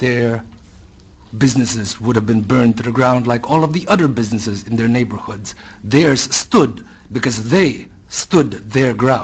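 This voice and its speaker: A man's somewhat breathy, passionate voice at a medium pitch and moderate pace, with ordinary pitch variation and a non-native accent. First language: not English. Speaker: public hearing witness. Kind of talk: public testimony speech. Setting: public hearing room.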